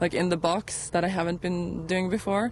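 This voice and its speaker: The speech moves at a fairly slow pace in a Norwegian accent. Its intonation stays monotone and flat. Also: woman. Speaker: pilot and flight instructor. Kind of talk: interview.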